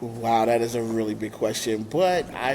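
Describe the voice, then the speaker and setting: The speaker has a New York accent and talks at a moderate pace. The recording has audible room echo and noticeable background noise. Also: man. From Brooklyn, New York. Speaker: nonprofit founder. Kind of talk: interview. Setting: remote call. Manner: hesitant, many fillers.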